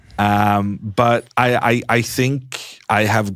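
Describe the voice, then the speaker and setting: A voice with a Norwegian accent comes through on a very clean recording with a silent background. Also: man. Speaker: chess commentator. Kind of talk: interview. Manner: slow; halting.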